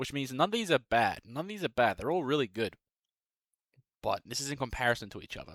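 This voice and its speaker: A man with an Australian accent talks very fast, with long, frequent pauses and big swings in loudness. The recording is very clean, with a silent background. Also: dry, close sound with no echo. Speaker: music YouTuber, bass player. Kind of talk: casual tier-list commentary. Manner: casual, filler-heavy.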